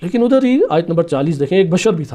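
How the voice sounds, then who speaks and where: His pitch swings very widely as this man talks in a dark, mellow tone. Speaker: Shia religious scholar giving a sermon. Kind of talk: religious lecture explaining Quran verses and narrations.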